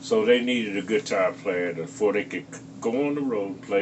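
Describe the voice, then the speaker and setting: A man speaks with lively intonation in a room with audible echo. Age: 70s. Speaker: guitarist. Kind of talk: interview. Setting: on location interview.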